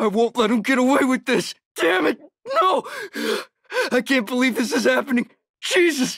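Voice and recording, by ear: In a put-on character voice, a man speaks at an extremely high pitch with lively intonation, vocal fry and a fairly bright tone, at a moderate pace, in a dry, close sound with no echo.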